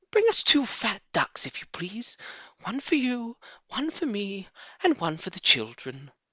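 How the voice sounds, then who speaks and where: A put-on character voice sits at a fairly high pitch and moves at a fairly slow pace. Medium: read story. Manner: gentle, cautious.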